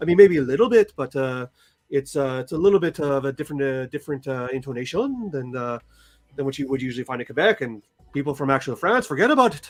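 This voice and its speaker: Talking at a very fast pace, a man with a fairly high pitch and ordinary pitch variation shows big swings in loudness. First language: French. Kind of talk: casual chat. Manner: halting.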